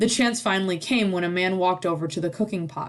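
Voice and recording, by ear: With ordinary pitch variation, a natural voice reads aloud.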